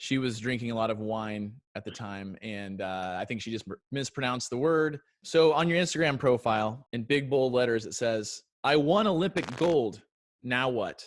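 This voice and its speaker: A man with a strong Southern US accent, medium pitch, an animated tone and lively intonation at a moderate pace, on a very clean recording with a silent background. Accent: thick Southern US. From US South, Chattanooga, Tennessee. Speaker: comedian. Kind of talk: satirical interview.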